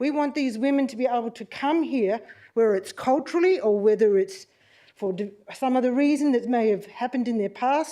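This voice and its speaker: An Australian accent with lively intonation and a dark, mellow tone, at a fairly quick pace against a quiet background. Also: woman, high pitch for a woman. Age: 60s. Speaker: community member addressing council. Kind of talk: public deputation speech. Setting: council meeting chamber, live streamed. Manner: unscripted, heartfelt.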